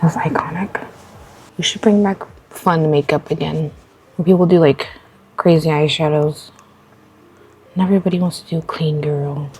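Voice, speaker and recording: Over noticeable background noise, a woman talks at a moderate pace in a very deep, low voice. Her intonation is fairly even, and she takes long, frequent pauses. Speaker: beauty vlogger. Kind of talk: casual get-ready-with-me chat. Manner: quiet, talking low.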